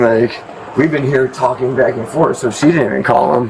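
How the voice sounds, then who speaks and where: Medium pitch from a man, ordinary pitch variation, a fairly quick pace and noticeable background noise. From New York. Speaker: man questioned by police. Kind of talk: heated argument. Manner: loud; fast, talking over others.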